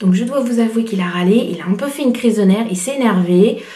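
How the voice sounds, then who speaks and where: Audible room echo colors the voice of a woman speaking at a moderate pace and a fairly high pitch, with ordinary pitch variation. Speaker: parenting blogger. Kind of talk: vlog advice talk. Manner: soft-spoken; hesitant, many fillers.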